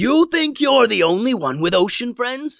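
A man's loud, shouted character voice at an extremely high pitch, with big pitch swings, vocal fry, a fairly bright tone and a fairly slow pace, in a very clean recording with a silent background

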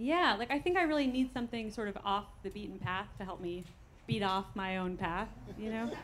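A medium-pitched woman at a fairly quick pace, an unremarkable speaking voice. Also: lively intonation. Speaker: stand-up comedian. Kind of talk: stand-up comedy. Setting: stage with audience.

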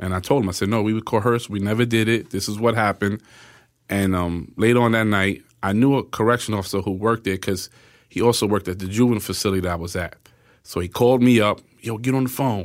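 Over a silent background in a very clean recording, a man with an American accent talks very fast at a fairly low pitch with fairly even intonation. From New York City, Spanish Harlem. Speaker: exonerated man. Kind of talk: interview.

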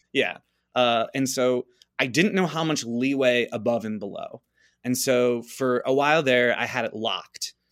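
A man with an unremarkable speaking voice, medium pitch, moderate pace and fairly even intonation on a very clean recording with a silent background. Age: 30s. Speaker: dating-advice guest. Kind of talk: casual chat.

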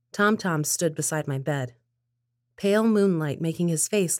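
A woman with an unremarkable speaking voice speaks at a moderate pace with ordinary pitch variation in a very clean recording with a silent background. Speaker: story narrator. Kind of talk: scripted narration.

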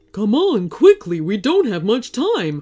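A woman puts on a character voice, fairly high in pitch with a dark, mellow tone and very wide pitch swings. She goes at a fairly slow pace over faint music in the background.

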